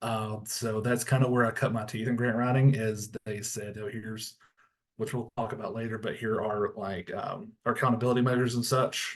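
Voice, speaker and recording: A man with a strong Tennessee accent, medium-pitched and monotone, flat in intonation, at a moderate pace. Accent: thick Tennessee. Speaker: school librarian. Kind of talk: webinar presentation.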